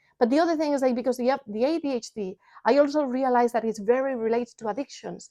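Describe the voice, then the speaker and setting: A woman's high voice in a Spanish accent at a very fast pace, with ordinary pitch variation and a dry, close sound with no echo. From Spain. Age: 40s. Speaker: parent coach and vlogger. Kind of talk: personal vlog talk; sales pitch. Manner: animated.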